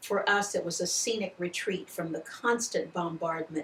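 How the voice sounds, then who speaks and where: A woman with an American accent and a fairly low pitch speaks at a moderate pace over noticeable background noise. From Ohio Valley, US Midwest. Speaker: poet. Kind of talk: reading aloud.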